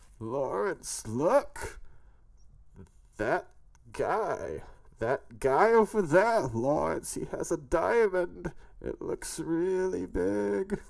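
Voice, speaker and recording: A put-on character voice at middle pitch, delivered at a very slow pace with long, frequent pauses. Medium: read story. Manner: booming, grandiose.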